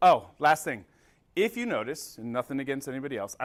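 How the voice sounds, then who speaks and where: A man with an American accent talks at a very fast pace in a medium-pitched voice. The recording is very clean with a silent background. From North Jersey, US. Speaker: combustion trainer. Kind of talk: technical training presentation. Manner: casual and profane.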